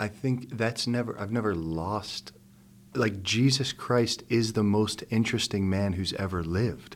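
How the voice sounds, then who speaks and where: Speaking at a fairly slow pace, a man with fairly low pitch and ordinary pitch variation has an unremarkable speaking voice. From US, Pittsburgh. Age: 40s. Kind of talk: interview conversation. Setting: studio.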